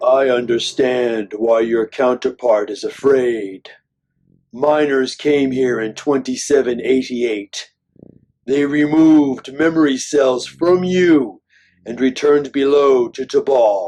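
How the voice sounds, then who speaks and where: Using a put-on character voice, a man speaks at a fairly slow pace. His pitch sits at a medium level. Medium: short film. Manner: cold, clipped, emotionless.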